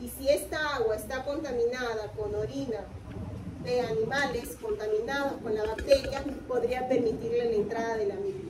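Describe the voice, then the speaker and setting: A woman at a fairly high pitch and moderate pace, ordinary in pitch variation, with audible room echo and noticeable background noise. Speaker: university lecturer. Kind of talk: lecture. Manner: interactive, questioning.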